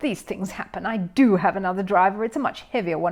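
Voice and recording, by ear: Someone reads aloud in a natural voice, pitch varying in an ordinary way.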